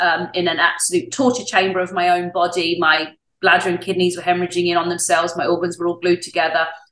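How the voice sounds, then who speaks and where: Here is a woman with an English accent. She talks at a very fast pace. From England. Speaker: wellness coach and show host. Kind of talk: interview.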